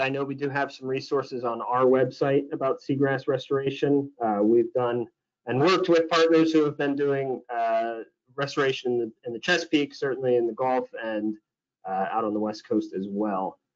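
A man with an American accent speaks at a moderate pace in a fairly high pitch. His pitch varies in an ordinary way, and the background is quiet. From US Midwest. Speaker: webinar host. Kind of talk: webinar moderation. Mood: friendly, upbeat. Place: home room. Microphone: webcam.

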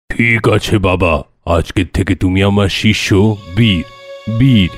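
With faint music in the background, a man performs a cartoonish character voice at a fairly low pitch and a moderate pace. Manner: calm, kindly.

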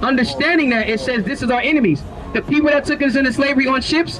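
Over noticeable background noise, a man talks at a very fast pace with an extremely high pitch and ordinary pitch variation. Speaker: street preacher. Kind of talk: street preaching, confrontational Bible-based debate with passers-by. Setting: outdoors, street, talking with a crowd or passers-by. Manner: forceful, relentless interrogating, rapid-fire pointed questions; scolding, lecturing, formal vocabulary. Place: street. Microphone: handheld.

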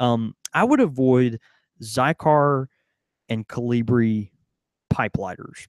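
In a quiet background with dry, echo-free sound, a man speaks at a fairly slow pace in a medium pitch. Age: 30s. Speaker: podcast co-host. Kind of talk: casual chat. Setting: studio with live audience. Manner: halting, many fillers. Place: shop. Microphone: studio mic.

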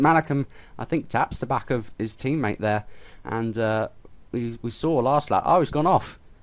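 With ordinary pitch variation, a man speaks in a plain, everyday voice. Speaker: race commentator. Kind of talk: live race commentary for a sim racing league, casual and conversational. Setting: commentary box. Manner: measured, conversational, pausing with frequent fillers.

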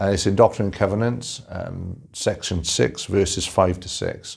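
A man's fairly low voice, a plain, everyday voice, with ordinary pitch variation against a quiet background. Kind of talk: formal invitation address. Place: office. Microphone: lapel.

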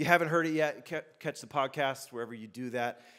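A man talks with crowd noise in the background. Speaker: pastor. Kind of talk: sermon. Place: church. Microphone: handheld.

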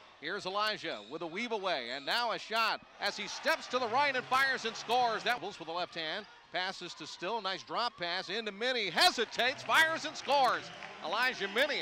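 With a high pitch, an energetic tone and lively intonation, a man uses a raised, projected voice in a dry recording with no echo and light background noise. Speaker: basketball radio commentator. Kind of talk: live play-by-play sports commentary. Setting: game broadcast, highlights reel. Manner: rapid-fire, fluent, energetic play-by-play delivery. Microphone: headset.

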